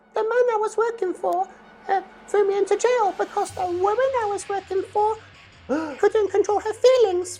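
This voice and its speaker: Over music in the background, a woman does a squeaky put-on character voice at a moderate pace. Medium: comedy sketch. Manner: soft, earnest, innocent.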